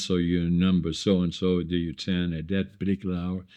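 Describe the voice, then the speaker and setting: A man speaks in a very deep, low pitch. He has a Dutch accent and keeps a moderate pace. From northeastern Netherlands. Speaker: entrepreneur. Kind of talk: casual chat. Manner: halting.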